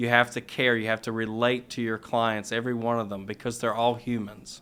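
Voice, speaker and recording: A man with a slight Virginia accent, medium pitch, fairly quick pace and monotone, flat intonation. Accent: slight Virginia twang. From US South, Roanoke Virginia. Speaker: elder law attorney. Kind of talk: podcast interview.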